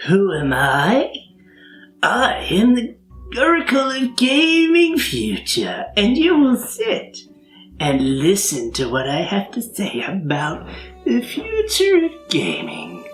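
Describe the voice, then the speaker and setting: In a put-on character voice, a female-sounding speaker talks fairly slowly at a fairly high pitch, with faint music in the background. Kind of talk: pompous, declamatory. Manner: creepy, grandiose.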